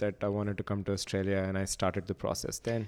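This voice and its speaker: A man speaks at a fairly low pitch in a very clean recording with a silent background. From India (Hyderabad). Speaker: psychiatry trainee doctor. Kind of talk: interview.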